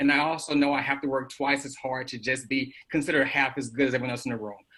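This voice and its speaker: Over noticeable background noise, a man with an American accent speaks at a very fast pace in a monotone, flat intonation. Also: medium pitch for a man. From US Midwest, Ferguson, Missouri. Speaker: professor. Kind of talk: panel discussion. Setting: video call. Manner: impassioned.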